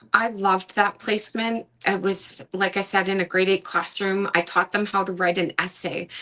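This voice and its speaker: A woman speaks at a moderate pace and medium pitch, with hardly any pauses and monotone, flat intonation. Noticeable background noise sits under her voice. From Ontario, Canada. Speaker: pageant titleholder, trained teacher. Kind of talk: interview storytelling.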